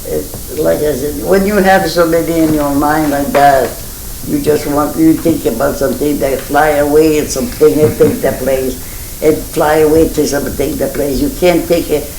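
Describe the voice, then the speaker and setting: Someone talks at a moderate pace with a Maine Acadian accent. Noticeable background noise sits under the voice. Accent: Franco-American (Maine Acadian) English. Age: 80s+. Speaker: centenarian interviewee. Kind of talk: oral history interview. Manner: halting.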